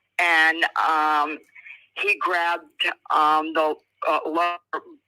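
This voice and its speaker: A woman's bright, sharp voice with an American accent. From Indiana. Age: 60s. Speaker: caller, retired remote viewer. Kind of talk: testimony. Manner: halting.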